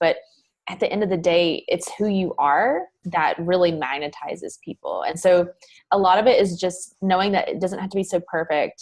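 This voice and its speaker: With a Southern US accent, a woman speaks in a fairly low voice at a moderate pace, her pitch varying in an ordinary way. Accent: Southern US accent, noticeable. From US South. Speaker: mindset coach. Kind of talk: podcast interview. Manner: casual, many fillers.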